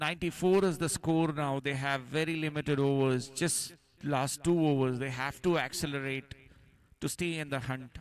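A man's plain, everyday voice, fairly high in pitch, at a moderate pace with fairly even intonation. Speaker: cricket commentator. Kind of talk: live sports commentary on a T10 cricket match, calling each ball as it is bowled. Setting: live match broadcast, commentating from the ground.

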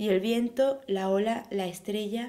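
A normal speaking voice from a woman, medium in pitch, fairly slow, with ordinary pitch variation. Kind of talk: poem reading aloud. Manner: fluent, steady, measured.

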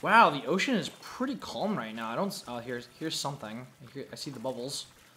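What's heard is an unforced reading voice.

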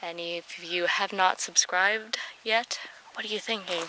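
A woman speaks with fairly even intonation. The sound is dry with no echo, and there is noticeable background noise. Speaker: animal farm vlogger. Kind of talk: casual vlog chat. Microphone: phone near.

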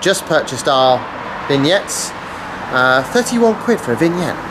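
A man keeps a moderate pace while noticeable background noise fills in behind him. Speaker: car road-trip vlogger. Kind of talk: casual vlog chat. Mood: wry, grumbling. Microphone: phone near.

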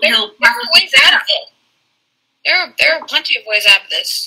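An extremely high-pitched, put-on character voice at a moderate pace. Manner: sly, tempting, condescending.

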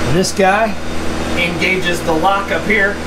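A man at a fairly slow pace, over loud background noise. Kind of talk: casual vlog explanation. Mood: upbeat, enthusiastic. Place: street. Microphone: phone near.

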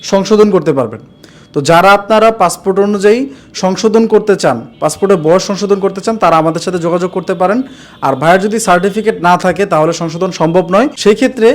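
A man talks with a high pitch and ordinary pitch variation. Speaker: overseas job recruitment agent and video host. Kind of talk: promotional video presentation. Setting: office.

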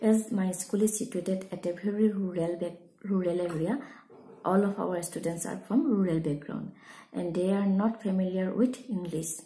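A woman talks at a moderate pace with ordinary pitch variation. Her tone is dark and mellow and somewhat breathy. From Assam, India. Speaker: school teacher. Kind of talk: prepared testimonial talk. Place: home room. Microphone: phone near.

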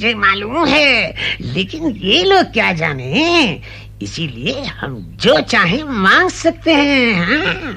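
Over light background noise, a man performs a cartoonish character voice. He goes at a very slow pace. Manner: grasping, sly.

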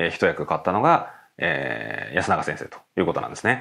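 Vocal fry colors this man's voice. He moves along at a fairly quick pace. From Japan, Nagano. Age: 30s. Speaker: professional go player and teacher. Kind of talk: tutorial. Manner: filler-heavy conversational.

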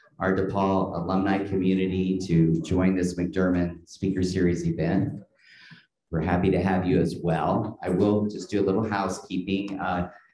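A man with a very deep, low pitch and a dark, mellow tone speaks at a moderate pace in a flat monotone, with audible room echo and light background noise. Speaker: event host. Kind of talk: event introduction and announcements. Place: classroom. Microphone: podium.

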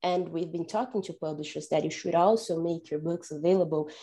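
Speaking with a Portuguese accent, a woman has a dark, mellow tone, a fairly low pitch and fairly even intonation. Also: quiet background. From Brazil. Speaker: data analysis manager; panelist. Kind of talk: panel discussion. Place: home room. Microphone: earbuds.

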